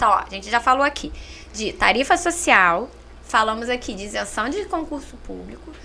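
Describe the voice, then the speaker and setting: A high-pitched woman with a Minas Gerais accent uses very wide pitch swings, big swings in loudness and a bright, sharp tone. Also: moderate pace. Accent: Minas Gerais (mineiro). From Minas Gerais, Brazil. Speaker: social services coordinator. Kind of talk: podcast interview. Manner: talkative.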